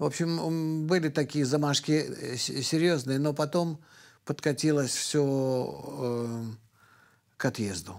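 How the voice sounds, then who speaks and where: At a very slow pace, a man talks with long, frequent pauses, ordinary pitch variation and very even loudness. The background is quiet. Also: fairly high pitch for a man. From Belarus, Vitebsk; Belarus. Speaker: kabbalist and professor; professor. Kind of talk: radio interview. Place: studio.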